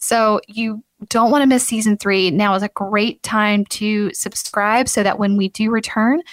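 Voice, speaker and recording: A woman speaks in an upbeat, enthusiastic tone at a fairly high pitch. The recording is very clean with a silent background and a dry, close sound with no echo. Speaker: podcast host.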